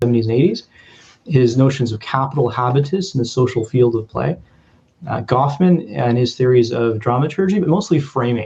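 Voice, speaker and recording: Speaking at a fairly quick pace in a Canadian accent, a man has a medium pitch, a dark, mellow tone and a somewhat breathy quality. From Canada, Vancouver (Punjabi heritage). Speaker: sociology lecturer, researcher. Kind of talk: academic talk with slides. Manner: hesitant, many fillers and repeats.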